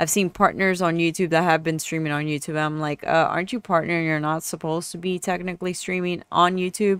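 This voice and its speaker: In a monotone, flat intonation, a woman with a fairly low pitch talks at a fairly quick pace with hardly any pauses. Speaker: streamer and gaming YouTuber. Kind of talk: tutorial. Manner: casual, rambling with many filler words.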